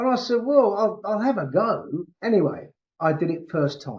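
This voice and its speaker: Speaking fairly slowly, a man with a high pitch makes very wide pitch swings. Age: 60s. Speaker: back pain practitioner. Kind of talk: interview. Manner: halting.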